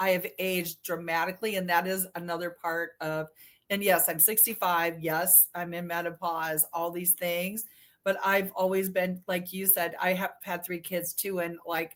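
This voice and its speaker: The recording is very clean, the background silent. A woman speaks at a fairly low pitch and moderate pace, with monotone, flat intonation. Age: 60s. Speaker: breast implant illness survivor. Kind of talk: casual chat.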